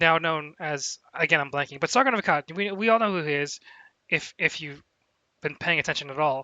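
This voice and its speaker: Ordinary pitch variation marks this man's delivery. He keeps a fairly quick pace and a fairly high pitch. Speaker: co-commentator. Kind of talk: political commentary livestream. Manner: fast.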